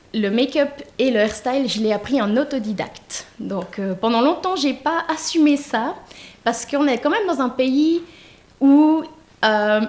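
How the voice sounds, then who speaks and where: A woman's high voice moves at a fairly slow pace with ordinary pitch variation. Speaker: make-up artist and hairstylist. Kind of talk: self-presentation at online wedding fair. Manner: hesitant, many fillers.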